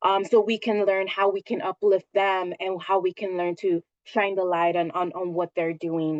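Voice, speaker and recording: A woman speaks in a normal speaking voice at a medium pitch. Her pitch varies in an ordinary way, and her pace is moderate. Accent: American. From Santa Ana, California. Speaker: government agency director. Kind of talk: presentation.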